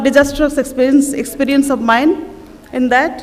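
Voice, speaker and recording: Amid noticeable background noise and audible room echo, a woman with an Odisha accent speaks at a moderate pace in a high pitch. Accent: Indian English, Odia. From India, Odisha (Cuttack). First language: Odia. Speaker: writer. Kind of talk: festival talk. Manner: halting.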